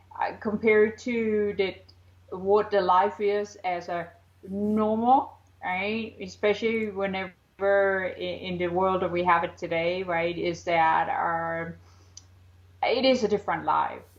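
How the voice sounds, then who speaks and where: Speaking in an American accent, a woman uses a medium pitch and fairly even intonation at a fairly slow pace. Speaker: psychic author. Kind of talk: interview. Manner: halting, many fillers; deliberately slowed.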